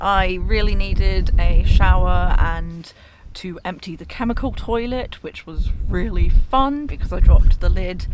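A woman is heard in a dry sound with no echo, while loud background noise fills the clip. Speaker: travel vlogger. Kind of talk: casual vlog chat. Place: car. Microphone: phone near.

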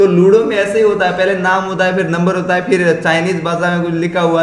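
A man talks at a fairly quick pace with hardly any pauses, his voice high-pitched and his intonation fairly even. There is audible room echo and light background noise. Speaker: gaming youtuber. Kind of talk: casual vlog chat. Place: home room.

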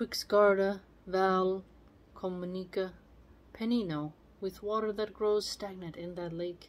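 A woman's monotone, flat intonation with long, frequent pauses. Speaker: video channel host reading poetry aloud. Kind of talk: literary poem reading aloud with casual commentary. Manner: measured, formal reading of archaic verse. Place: home room. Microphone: phone near.

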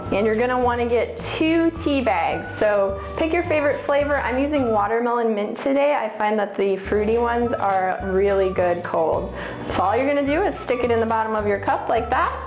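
A woman talks at a moderate pace with hardly any pauses. Clear music plays in the background, and there is audible room echo. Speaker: presenter. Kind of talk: tutorial. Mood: cheerful, upbeat. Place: home room. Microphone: lapel.

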